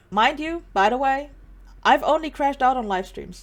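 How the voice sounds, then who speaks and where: Music runs underneath. Over it, a woman talks. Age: 20s. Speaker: vtuber and artist. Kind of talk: casual monologue video.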